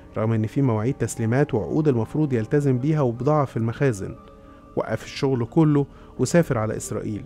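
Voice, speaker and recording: Music plays in the background as a man speaks. His pace is fairly quick, his pitch variation ordinary. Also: medium pitch for a man. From Egypt. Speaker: radio and TV presenter. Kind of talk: casual conspiracy-story narration.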